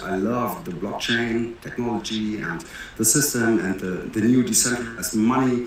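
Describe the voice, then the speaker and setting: A man with a German accent is heard with audible room echo. There is noticeable background noise too. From Germany. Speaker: entrepreneur and crypto project founder. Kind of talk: interview. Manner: hesitant, many fillers.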